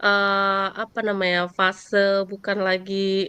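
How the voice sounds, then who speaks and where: A woman talks at medium pitch with a Javanese accent. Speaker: middle school teacher. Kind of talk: coaching conversation. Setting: video call. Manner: casual, hesitant with fillers.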